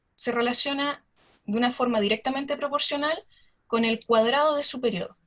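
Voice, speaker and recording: A woman talks at a fairly quick pace in a high pitch with ordinary pitch variation. Music plays in the background. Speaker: astronomer. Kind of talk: lecture. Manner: fast.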